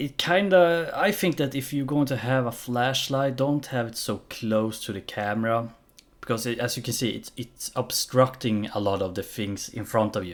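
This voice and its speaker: A man with a non-native accent, medium pitch and lively intonation at a moderate pace. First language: not English. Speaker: gaming reaction YouTuber. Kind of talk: casual commentary. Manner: halting.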